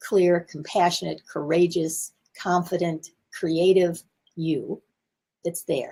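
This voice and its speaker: This woman's voice is somewhat breathy. She speaks at a fairly slow pace. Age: 70s. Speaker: communication coach. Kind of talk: live stream talk. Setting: home office.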